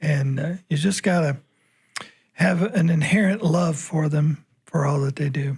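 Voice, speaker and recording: A man speaks in a Kentucky accent at a fairly high pitch, his intonation fairly even. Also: fairly slow pace. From Kentucky, Anderson County. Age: 60s. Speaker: farm organization writer. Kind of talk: casual chat. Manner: halting, many fillers.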